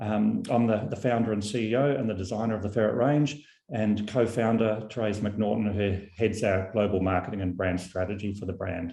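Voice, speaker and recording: The voice has a dark, mellow tone and a New Zealand accent, with fairly even intonation. It moves at a fairly quick pace with hardly any pauses. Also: man, fairly low pitch for a man. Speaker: company founder and CEO. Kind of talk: product presentation. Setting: video call webinar.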